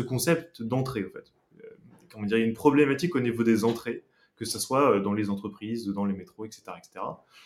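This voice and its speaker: A man at a medium pitch, moderate pace and ordinary pitch variation, with long, frequent pauses and big swings in loudness. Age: 20s. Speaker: startup founder. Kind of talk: interview. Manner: halting, many fillers.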